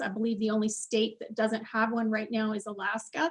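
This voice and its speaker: Against a quiet background, a woman speaks at a fairly quick pace. Her voice is fairly high and somewhat breathy. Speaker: director of a business support center. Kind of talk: presentation in an online meeting. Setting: video call.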